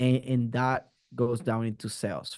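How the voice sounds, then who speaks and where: A man in a Spanish accent speaks at a medium pitch with fairly even intonation. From Puerto Rico. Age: 30s. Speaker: marketing strategist. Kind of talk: interview. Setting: video call. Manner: halting, repeats words.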